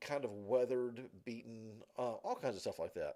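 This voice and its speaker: A man with a medium-pitched voice talks with a Southern US accent. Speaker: college instructor. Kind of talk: lecture. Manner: halting, many fillers.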